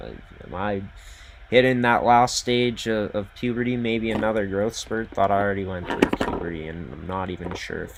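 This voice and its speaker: A man with a Canadian accent talks at a fairly low pitch with ordinary pitch variation. Noticeable background noise sits behind him. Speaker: hockey podcast host. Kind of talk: sports podcast monologue. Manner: casual, filler-heavy.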